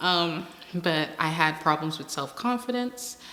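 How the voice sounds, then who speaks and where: A woman with a fairly low pitch speaks at a very slow pace with lively intonation. There is noticeable background noise. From Bahamas, Berry Islands. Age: 20s. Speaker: interviewee, student and model. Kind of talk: personal interview.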